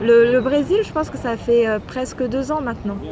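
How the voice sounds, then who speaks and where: A woman speaks at a fairly slow pace in a high pitch. Crowd noise sits in the background, and the room echo is audible. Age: 30s. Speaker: traveller on working holiday visa. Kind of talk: interview. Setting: café terrace. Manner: casual.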